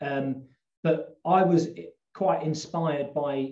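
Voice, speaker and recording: A man speaks with a southern English accent and a fairly high pitch. His tone is dark and mellow, with ordinary pitch variation. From London suburbs, England. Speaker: health coach and outdoor instructor. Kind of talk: casual interview chat. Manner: hesitant, many fillers.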